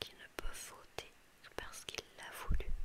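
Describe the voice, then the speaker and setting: Over noticeable background noise, a woman whispers. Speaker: ASMR reader. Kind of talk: whispered ASMR book reading. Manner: whispered; soft-spoken.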